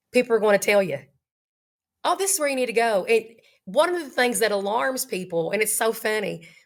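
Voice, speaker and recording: A woman's fairly high voice at a very fast pace. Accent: Appalachian. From Eastern Kentucky. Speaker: high school teacher. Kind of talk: interview answer.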